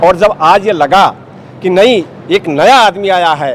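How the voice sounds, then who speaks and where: Over noticeable background noise, a man talks with lively intonation. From northern India, Bahraich district (Uttar Pradesh). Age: 70s. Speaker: retired lawyer and political activist. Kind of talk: interview.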